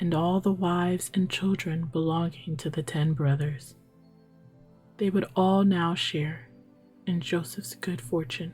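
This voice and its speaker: Whispering and soft-spoken, a woman talks in a calm tone at a fairly slow pace with music in the background. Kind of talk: sleep story. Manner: soft-spoken, calm; whispered.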